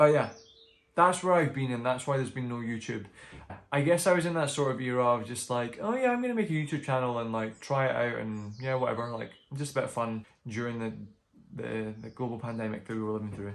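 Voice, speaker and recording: A man's medium-pitched voice with a Scottish accent, ordinary pitch variation and a very fast pace. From Scotland. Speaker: book vlogger. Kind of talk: casual vlog update. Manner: chatty, filler-heavy.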